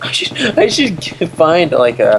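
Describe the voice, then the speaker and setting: Noticeable background noise fills the recording. The voice belongs to a man. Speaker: gaming commentator. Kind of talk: casual let's play commentary.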